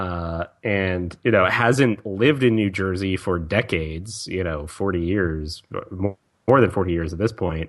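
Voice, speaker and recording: The speaker has a slight Southern accent and a fairly slow pace. The background is quiet. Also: man. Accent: slight Southern, occasional y'all. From Virginia, US South. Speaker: podcast co-host. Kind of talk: casual chat.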